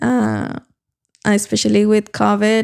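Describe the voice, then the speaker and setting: In a Mexican accent, a woman talks at a very slow pace. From Mexico, Durango. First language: Spanish. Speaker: real estate agent. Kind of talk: casual interview. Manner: halting.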